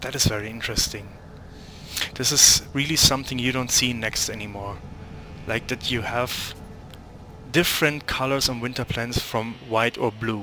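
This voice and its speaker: Fairly even intonation and long, frequent pauses mark this speech in a non-native accent, heard over noticeable background noise. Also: man, medium pitch for a man, moderate pace. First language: not English. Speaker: gaming youtuber. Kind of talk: gameplay commentary. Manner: halting, searching for words; casual, unscripted. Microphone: poor quality microphone.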